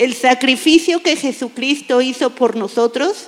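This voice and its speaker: Over noticeable background noise, a woman talks at a fairly slow pace in a high-pitched voice. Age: 50s. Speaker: church volunteer. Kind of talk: testimony. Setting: church stage with audience.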